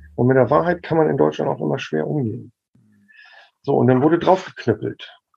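A man's voice with very wide pitch swings, music playing behind it. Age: 50s. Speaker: medical cannabis expert and activist. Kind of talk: casual chat.

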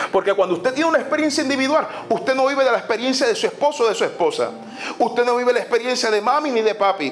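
A man's extremely high voice at a very fast pace, with very even loudness, ordinary pitch variation and noticeable background noise. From Puerto Rico. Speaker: pastor. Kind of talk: sermon. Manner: animated.

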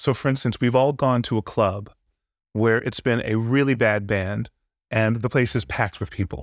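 A plain, everyday voice with an American accent, at a moderate pace with fairly even intonation, on a very clean recording with a silent background and a dry, close sound with no echo. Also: man, medium pitch for a man. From California, Santa Barbara. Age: 50s. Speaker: guitarist and music producer. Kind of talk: casual interview conversation.

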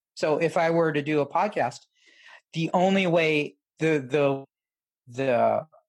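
This is a man with a normal speaking voice and a fairly high pitch that varies in an ordinary way. The recording is very clean, the background silent. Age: 50s. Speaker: sex and relationship coach. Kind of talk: casual chat.

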